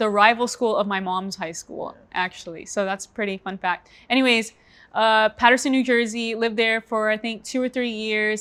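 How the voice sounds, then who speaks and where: On a very clean recording with a silent background, a woman has an ordinary speaking voice at fairly high pitch with fairly even intonation. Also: moderate pace. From moved around US states, mostly Florida. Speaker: podcast co-host. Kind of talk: casual chat.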